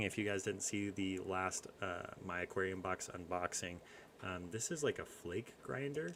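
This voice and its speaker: A man speaks quietly in a very deep, low pitch. He keeps a moderate pace. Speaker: fish-keeping youtuber. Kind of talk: live stream chat. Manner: quiet, low talker.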